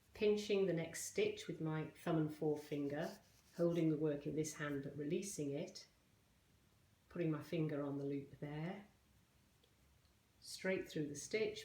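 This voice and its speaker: Audible room echo around a woman's very deep, low voice, dark and mellow in tone, with ordinary pitch variation at a fairly slow pace. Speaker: crochet teacher. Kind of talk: tutorial.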